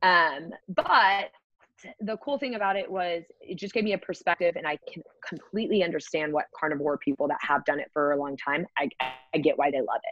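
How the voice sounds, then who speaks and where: A woman with a fairly low voice talks at a fairly quick pace with lively intonation in an unremarkable speaking voice. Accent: American. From Texas, Houston. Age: 20s. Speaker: fitness and nutrition coach. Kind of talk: casual chat.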